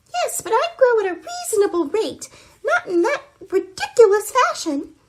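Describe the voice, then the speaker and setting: A squeaky put-on character voice at an extremely high pitch, with a moderate pace. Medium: audio drama. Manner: peevish, prim.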